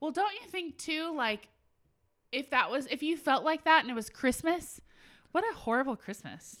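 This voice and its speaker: Her tone animated and her intonation lively, a woman speaks at a high pitch and a moderate pace. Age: 30s. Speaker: wedding podcast host. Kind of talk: casual chat.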